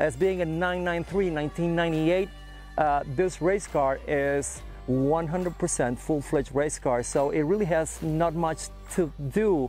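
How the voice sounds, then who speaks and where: The man's voice has a dry sound with no echo, and faint music sits in the background. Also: moderate pace. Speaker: presenter. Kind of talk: casual walkaround commentary. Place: open country. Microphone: lapel.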